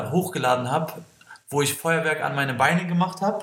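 Fairly high male voice with fairly even intonation over noticeable background noise. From Kosovo. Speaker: breakdancer. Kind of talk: interview. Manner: hesitant with fillers.

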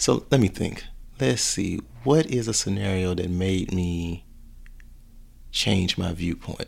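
In a Southern US accent, a man speaks at a very slow pace with long, frequent pauses and lively intonation. His pitch is very deep and low, and the recording is very clean with a silent background. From Alabama. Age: 30s. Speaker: personal trainer. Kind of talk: casual chat.

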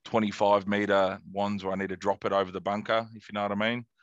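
A man with an Australian accent speaks at a fairly quick pace. His pitch is fairly low. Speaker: golf podcast host. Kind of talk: casual chat.

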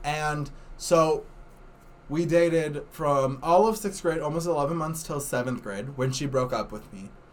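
The speaker has a plain, everyday voice and an American accent, at a fairly slow pace. Pitch variation is ordinary, with big swings in loudness. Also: man, fairly high pitch for a man. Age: 20s. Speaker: podcast guest. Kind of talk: casual chat.

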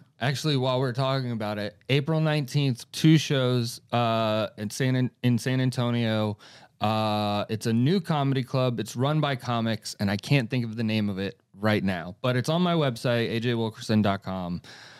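An unremarkable speaking voice from a man with an American accent, pitched medium. He talks at a moderate pace with hardly any pauses, in a very clean recording with a silent background. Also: ordinary pitch variation. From Florida (Gainesville area). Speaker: comedian and podcast host. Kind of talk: casual chat.

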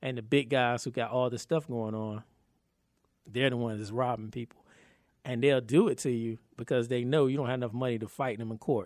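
An unremarkable speaking voice from a man with an American accent, medium pitch, fairly even intonation and a fairly quick pace, on a very clean recording against a silent background. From North Carolina, Raleigh. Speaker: film producer and actor. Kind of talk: casual interview chat.

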